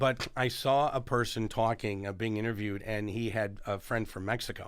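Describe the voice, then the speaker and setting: A man's unremarkable speaking voice at a medium pitch, with a moderate pace and fairly even intonation. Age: 60s. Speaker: political science professor. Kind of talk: casual interview chat.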